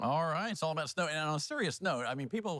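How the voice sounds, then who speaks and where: A man has an unremarkable speaking voice. His pitch is fairly high. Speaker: TV news anchor. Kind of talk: TV news anchor banter. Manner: upbeat, conversational.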